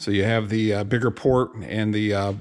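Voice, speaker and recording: At a moderate pace, a man speaks in a normal speaking voice with a fairly low pitch. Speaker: tractor mechanic. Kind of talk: tutorial. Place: workshop. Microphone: phone near.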